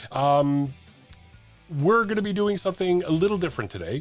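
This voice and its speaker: A man is speaking. Music plays behind him. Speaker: online radio channel host. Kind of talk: casual vlog monologue. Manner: halting, many fillers.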